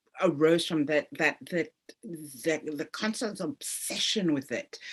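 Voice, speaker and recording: A woman's fairly low voice with lively intonation at a very slow pace. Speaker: author of a memoir. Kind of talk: interview.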